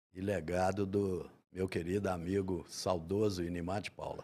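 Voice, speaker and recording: In a very clean recording with a silent background, a man with a dark, mellow tone speaks at a moderate pace. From Minas Gerais, Brazil (São João del Rei, raised in Belo Horizonte). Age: 70s. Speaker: painter. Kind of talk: interview.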